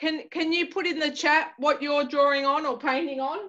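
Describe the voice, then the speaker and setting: With an Australian accent, a woman projects a raised, high voice. Her tone is bright, sharp and animated, with a quiet background. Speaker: artist teaching a painting class. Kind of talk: tutorial. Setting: video call. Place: home room. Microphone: video call.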